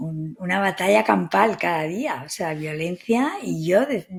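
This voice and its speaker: The recording is very clean and the background silent. The woman's tone is dark and mellow. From Spain. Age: 60s. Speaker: psychotherapist. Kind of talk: interview conversation.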